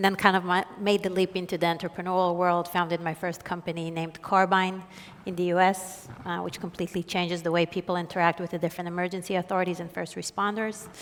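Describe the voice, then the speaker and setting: A woman with an Israeli accent talks at a very fast pace, barely pausing. Her fairly low voice stays monotone and flat. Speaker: venture capital investor. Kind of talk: panel discussion.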